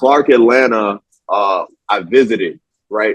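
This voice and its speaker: A man with an ordinary speaking voice at a medium pitch, fairly even intonation and a dry, close sound with no echo. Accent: American. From New York (Harlem). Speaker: film writer and director. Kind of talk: casual interview chat.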